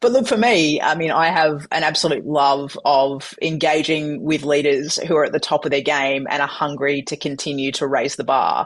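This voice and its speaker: With an Australian accent, a woman with a very deep, low pitch speaks in an energetic tone at a moderate pace, with ordinary pitch variation, hardly any pauses and a quiet background. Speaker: keynote speaker. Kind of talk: interview.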